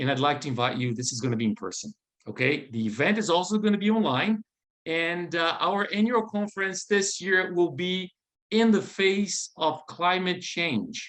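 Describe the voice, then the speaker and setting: A high-pitched man speaks at a moderate pace with a non-native accent. His intonation is lively. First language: not English. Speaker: event host, building organization manager. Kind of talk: event hosting announcements. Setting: video call. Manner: halting.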